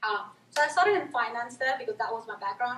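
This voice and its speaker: Noticeable background noise sits behind a woman who talks at a fairly quick pace with a fairly high pitch and ordinary pitch variation. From India. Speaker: marketing manager. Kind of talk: presentation. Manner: fast.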